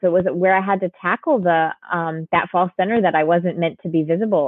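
Using an unremarkable speaking voice, a woman with an American accent talks at a moderate pace with fairly even intonation. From US Northeast, Connecticut. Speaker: life coach. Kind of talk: interview.

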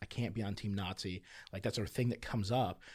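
Here is a man with a plain, everyday voice, pitched fairly low. He keeps a fairly even intonation on a very clean recording with a silent background. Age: 30s. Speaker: pastor. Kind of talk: casual chat.

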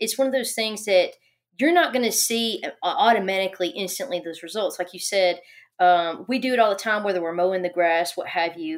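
Over a silent background in a very clean recording, a woman with a plain, everyday voice talks at a fairly quick pace with ordinary pitch variation. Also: medium pitch for a woman. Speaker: construction safety professional. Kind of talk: casual chat.

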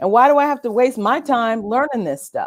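A woman with an American accent speaks at a moderate pace and a high pitch, with ordinary pitch variation. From Southern California, Orange County. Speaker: children's author and reading researcher. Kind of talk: podcast interview. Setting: livestream on Facebook Live and YouTube.

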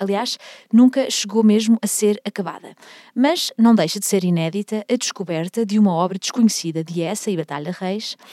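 A woman speaks at a moderate pace with a medium pitch and ordinary pitch variation. Her tone is dark and mellow, and the sound is dry and close with no echo. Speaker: podcast host, music history guide. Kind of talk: scripted narration.

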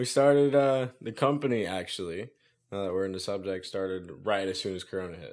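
A man uses a normal speaking voice with an American accent at a moderate pace. His pitch variation is ordinary, and the recording is very clean with a silent background. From US South, central Florida. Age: 20s. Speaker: tree service business owner. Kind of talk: casual interview chat.

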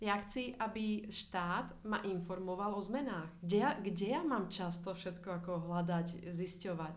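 A woman speaking at a fairly slow pace with hardly any pauses, amid audible room echo. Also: medium pitch for a woman, ordinary pitch variation. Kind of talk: casual interview.

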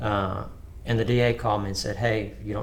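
With an Alabama accent, a man speaks at a moderate pace and a fairly low pitch, with vocal fry. Audible room echo surrounds his voice. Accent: US Southern (Alabama). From Alabama, Tuscaloosa. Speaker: business owner. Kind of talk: casual interview, storytelling.

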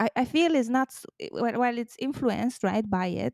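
At a moderate pace, the speaker uses a dark, mellow tone with ordinary pitch variation and a non-native accent, in a dry, close sound with no echo. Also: woman. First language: not English. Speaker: diversity and inclusion consultant. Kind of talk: casual interview.

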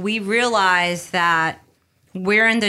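A woman's bright, sharp voice with a slight New York accent, very slow pace, and a very clean recording with a silent background. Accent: light New York. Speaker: entrepreneur and business coach. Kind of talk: interview.

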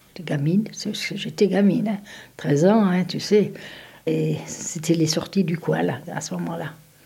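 A woman at fairly low pitch with ordinary pitch variation, a fairly slow pace, long, frequent pauses, and noticeable background noise. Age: 70s. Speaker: grandmother. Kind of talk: casual chat.

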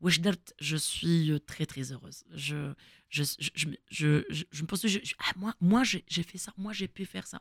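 A woman's fairly low, vocal-fry voice at a fairly slow pace, with ordinary pitch variation, big swings in loudness and a dry, close sound with no echo. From Algeria, Kabylie (Fiklma). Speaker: former footballer and coach. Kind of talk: interview.

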